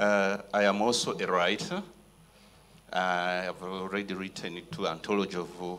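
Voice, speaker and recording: There is noticeable background noise as a man with a Rwandan accent talks at a fairly slow pace. His pitch is very deep and low. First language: Kinyarwanda. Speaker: writer and lecturer. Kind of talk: panel discussion. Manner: halting.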